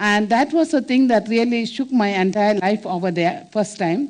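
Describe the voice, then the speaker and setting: A woman speaks with a Keralan accent at a fairly high pitch. Her intonation is lively, her pace fairly slow. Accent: Indian English, Malayali. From India, Kerala (village). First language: Malayalam. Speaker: nun and social worker. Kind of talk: inspirational talk. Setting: stage with audience. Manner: halting, many fillers.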